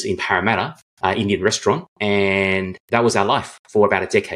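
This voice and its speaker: Speaking with an Australian accent, a man uses a fairly low pitch on a very clean recording with a silent background. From Australia, Sydney. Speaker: guest telling life story. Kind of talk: interview.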